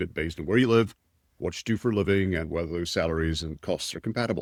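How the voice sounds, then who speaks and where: A man's very deep, low voice in a Scottish accent, with ordinary pitch variation, dry and close with no echo, on a very clean recording with a silent background. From Scotland. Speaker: tech executive and entrepreneur. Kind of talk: podcast interview. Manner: blunt.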